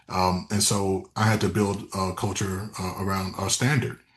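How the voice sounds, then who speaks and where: A man speaks with a Memphis accent at a very deep, low pitch. His voice is somewhat breathy. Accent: US Southern (Memphis). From West Tennessee, Memphis area. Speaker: real estate team leader. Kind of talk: interview. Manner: frequent fillers and self-repetition.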